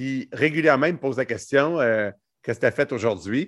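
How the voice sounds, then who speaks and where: Moderate pace and lively intonation in a plain, everyday voice. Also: man. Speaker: entrepreneur. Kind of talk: casual chat.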